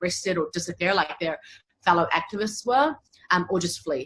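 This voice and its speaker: A woman with a New Zealand accent talks at a very fast pace, her fairly low voice rising and falling in an ordinary way. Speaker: human rights lawyer. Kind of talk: interview.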